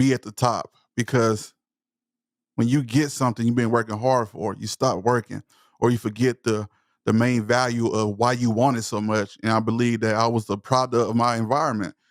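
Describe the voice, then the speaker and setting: A man's passionate, medium-pitched voice in a Southern US accent, monotone and flat, at a moderate pace, with a dry, close sound with no echo and a very clean recording with a silent background. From East Texas, US South. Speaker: motivational speaker and voice-over creator. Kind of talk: podcast interview.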